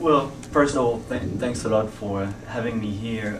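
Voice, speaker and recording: A man's fairly low pitch amid audible room echo and noticeable background noise. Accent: French. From France. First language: French. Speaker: climate researcher. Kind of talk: panel discussion. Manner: halting.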